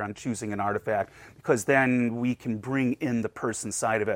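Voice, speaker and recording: At a moderate pace, a man talks in a plain, everyday voice at medium pitch, with a dry, close sound, no echo, and a very clean recording with a silent background. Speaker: museum collections director. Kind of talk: casual interview chat.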